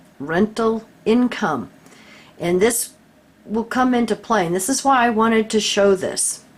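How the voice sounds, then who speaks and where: Her fairly high voice moves at a fairly slow pace, this woman using ordinary pitch variation. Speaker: YouTube commentator. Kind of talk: screen-share document walkthrough.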